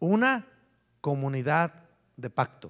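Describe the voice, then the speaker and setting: Here a man is speaking. His pace is very slow. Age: 50s. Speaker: pastor. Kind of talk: sermon.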